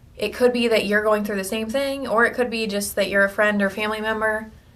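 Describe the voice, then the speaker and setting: A woman speaks at a fairly high pitch with fairly even intonation. The room echo is audible. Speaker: video blogger with cancer. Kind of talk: personal video diary. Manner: hesitant, many fillers.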